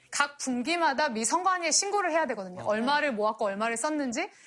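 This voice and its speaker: Quick-paced female voice, high in pitch, with very wide pitch swings. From South Korea. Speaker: political science professor. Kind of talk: lecture.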